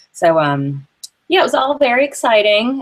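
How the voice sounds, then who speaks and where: With a Southern US accent, a woman speaks at a fairly slow pace, her pitch swinging very widely. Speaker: entrepreneur. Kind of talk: interview.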